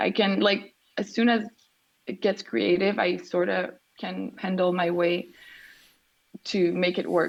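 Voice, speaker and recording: A woman with a Quebec accent speaks at a fairly slow pace. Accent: Québécois French. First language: French. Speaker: artist. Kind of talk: interview.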